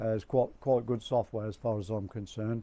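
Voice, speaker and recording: A man with an English accent, medium pitch, a dark, mellow tone and ordinary pitch variation. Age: 60s. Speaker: amateur photographer vlogger. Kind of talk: casual vlog talk. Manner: halting.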